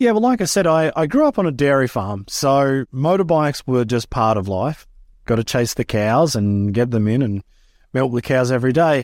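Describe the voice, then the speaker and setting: A man talks at a moderate pace and medium pitch, with lively intonation and very even loudness. The recording is very clean, with a silent background. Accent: Australian. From Australia, rural Queensland. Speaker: freestyle motocross rider and event manager. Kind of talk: interview.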